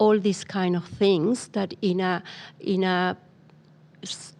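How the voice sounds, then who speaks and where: Speaking very slowly, a woman with a non-native accent talks at medium pitch. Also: very clean recording, silent background. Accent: foreign accent, noticeable. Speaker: migrant employment program coordinator. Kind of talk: podcast interview. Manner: hesitant, many fillers.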